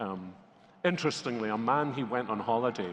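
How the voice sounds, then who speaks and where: This man speaks with a Scottish accent at a fairly low pitch. His pace is moderate and his pitch variation ordinary. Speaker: pastor. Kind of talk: interview.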